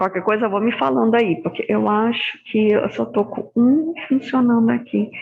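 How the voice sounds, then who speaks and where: A woman with a fairly high pitch speaks at a fairly slow pace with ordinary pitch variation. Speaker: hematology lecturer. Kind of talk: online lecture. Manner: soft-spoken.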